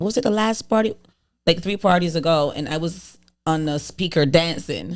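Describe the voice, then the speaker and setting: A woman speaks in a fairly low pitch at a moderate pace. Her tone is animated. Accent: strong Barbadian. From Caribbean, Barbados. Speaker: podcast co-host and party promoter. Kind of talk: casual chat. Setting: studio.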